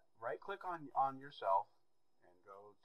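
Moderate pacing from a male speaker. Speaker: amateur radio net control operator. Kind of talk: tutorial. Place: home room. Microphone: headset.

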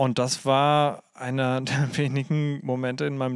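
This is a plain, everyday voice, recorded with a dry, close sound and no echo. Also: man. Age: 20s. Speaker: youth worker and theologian. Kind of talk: casual chat.

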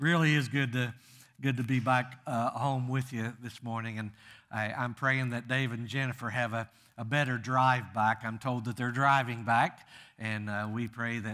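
Against a quiet background, a man speaks with a bright, sharp tone at a moderate pace. His intonation is monotone and flat. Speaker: guest preacher. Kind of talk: sermon. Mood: humorous, warm storytelling. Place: church.

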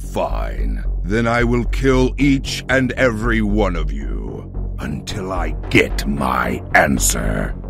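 A man talks at a very slow pace. Loud music plays in the background. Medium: audio drama. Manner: menacing, imperious.

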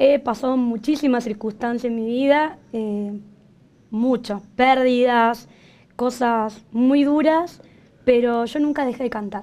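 Very slow in pace, a woman speaks with a high pitch and fairly even intonation. Her tone is dark and mellow. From Córdoba, Argentina. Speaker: singer and singing teacher; singing teacher. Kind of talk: TV interview. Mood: warm, emotional, smiling. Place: studio.

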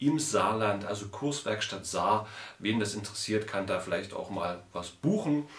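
With audible room echo, a man talks at a moderate pace with a fairly low pitch and ordinary pitch variation. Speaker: woodcarving channel host. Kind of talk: casual vlog chat. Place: home room.

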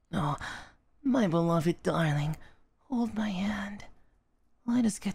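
A man's put-on character voice. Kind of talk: soft romantic ASMR roleplay. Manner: tender, affectionate, wistful.

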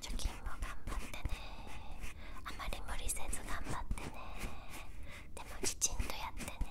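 Whispering in a gentle tone, a woman speaks at a fairly slow pace. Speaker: ASMR creator. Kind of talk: soft ASMR role-play talk. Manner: gentle encouraging close whisper. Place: home room. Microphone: handheld.

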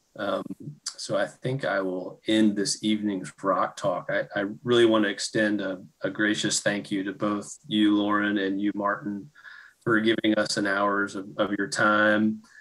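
Against a quiet background, a man with a fairly low pitch speaks at a fairly slow pace with fairly even intonation. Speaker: lab associate director; host of an online talk series. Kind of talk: seminar introduction. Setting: video call. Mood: warm, grateful. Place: home room. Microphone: webcam.

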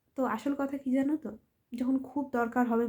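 A woman's high-pitched voice with a dark, mellow tone and fairly even intonation, on a very clean recording with a silent background. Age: 20s. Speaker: content creator. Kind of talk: personal vlog monologue. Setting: at home late at night.

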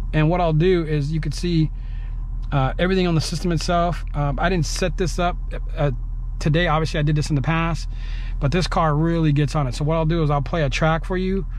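Speaking fairly quickly in a flat monotone, a man keeps his loudness very even on a dry recording with no echo and light background noise. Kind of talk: tutorial. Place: car. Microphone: phone near.

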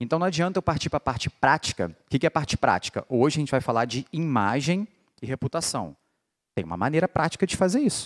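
A man with a fairly high pitch, very wide pitch swings and an animated tone, talking at a very fast pace against a quiet background. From Rio de Janeiro, Brazil. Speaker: political marketing lecturer. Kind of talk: lecture. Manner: casual, animated. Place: hall. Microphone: handheld.

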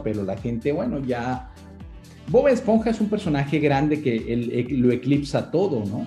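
Faint music plays behind a man whose voice carries audible room echo. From Venezuela. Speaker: voice actor. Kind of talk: interview answer. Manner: casual, conversational. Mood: relaxed, reflective. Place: home room. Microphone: video call.

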